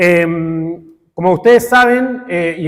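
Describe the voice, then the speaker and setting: This man speaks with a high-pitched voice. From Chile. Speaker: academic researcher. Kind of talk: conference talk. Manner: deliberately slow; halting, many filler sounds.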